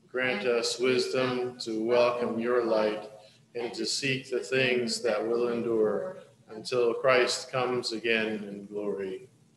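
Very slowly, a man speaks with fairly even intonation. Audible room echo and light background noise fill the recording. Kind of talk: liturgical prayer reading. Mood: solemn, calm. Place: church.

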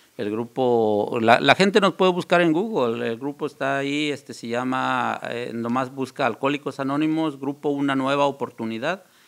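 At a moderate pace and with ordinary pitch variation, a man speaks in a Mexican accent against a quiet background. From central Mexico (Guanajuato). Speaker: recovering alcoholic, AA member; guest. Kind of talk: testimony. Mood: earnest, personal confession. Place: studio. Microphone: studio mic.

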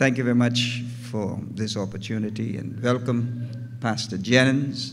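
With light background noise, a man speaks at a fairly slow pace. His intonation stays monotone and flat. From Bahamas. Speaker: pastor. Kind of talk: formal greeting remarks; address to the congregation. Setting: church. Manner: formal, ornate. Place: church. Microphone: podium.

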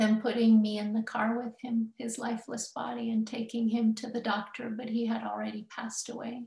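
Against a quiet background with audible room echo, a woman speaks at a fairly high pitch with monotone, flat intonation. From US, Denver, Colorado; Colorado. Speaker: professor. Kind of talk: lecture. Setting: video call. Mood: reflective, emotional storytelling. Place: home room. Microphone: webcam.

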